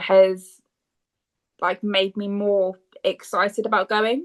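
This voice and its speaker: A woman with a British accent at a very slow pace, medium in pitch, with a dry, close sound and no echo. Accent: British, lighter than co-host's. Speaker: podcast co-host. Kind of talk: casual chat.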